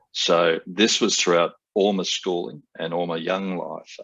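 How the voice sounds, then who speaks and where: At a fairly slow pace, a man talks in an Australian accent. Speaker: airline pilot and stuttering advocate. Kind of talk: interview. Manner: halting, many fillers.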